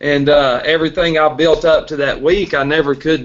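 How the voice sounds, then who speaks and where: The intonation here is fairly even. A man talks with a fairly high pitch. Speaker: recovering alcoholic sharing his story. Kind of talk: testimony.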